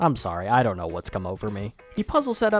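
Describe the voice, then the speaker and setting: Music sits in the background. The speaking pace is fairly quick. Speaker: gaming video narrator. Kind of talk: game walkthrough commentary.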